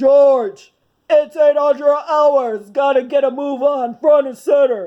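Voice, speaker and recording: A man puts on a character voice. He pitches it extremely high. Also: fairly slow pace. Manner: brisk, commanding.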